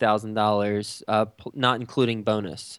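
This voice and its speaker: A man speaks with an American accent at a moderate pace. His intonation stays fairly even. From Texas. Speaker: real estate investor and podcast host. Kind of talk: interview. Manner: halting, many fillers and repeats.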